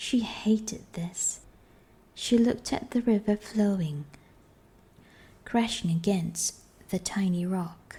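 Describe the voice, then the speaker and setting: Soft-spoken and very slow, the voice comes with long, frequent pauses. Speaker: audiobook narrator. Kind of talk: reading aloud.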